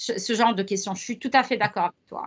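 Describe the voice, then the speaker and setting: With a quiet background, a woman speaks with lively intonation. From Lebanon. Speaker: professor. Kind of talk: interview conversation. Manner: hesitant with many fillers.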